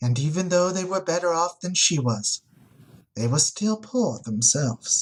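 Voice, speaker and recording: A man puts on a resonant character voice with lively intonation. He moves at a moderate pace. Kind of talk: oratorical storytelling. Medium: read story. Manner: eloquent, measured.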